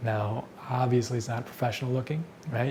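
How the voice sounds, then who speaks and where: A man whispers quietly at a very fast pace. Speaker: filmmaker. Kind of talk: casual tutorial talk to camera. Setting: indoors at night. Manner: whispered, quiet.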